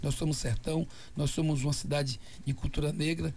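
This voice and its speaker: Using vocal fry, a man speaks at a fairly quick pace with a fairly high pitch. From Brazil, Bahia (Feira de Santana). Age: 60s. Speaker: mayoral candidate, politician. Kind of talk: radio interview. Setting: radio studio. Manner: animated.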